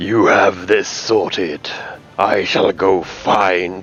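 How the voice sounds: A man puts on a strained character voice, speaking at a very slow pace with a very deep, low pitch.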